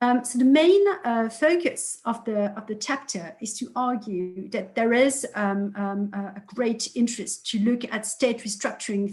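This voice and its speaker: A fairly high, somewhat breathy female voice with ordinary pitch variation. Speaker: political science researcher. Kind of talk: academic presentation. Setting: video call webinar. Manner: hesitant, many fillers.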